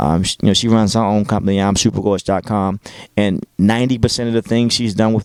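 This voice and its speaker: A man's fairly low voice with a Baltimore accent, very fast pace, ordinary pitch variation, and a dry, close sound with no echo. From Baltimore, Maryland, US. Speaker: radio DJ. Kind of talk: interview.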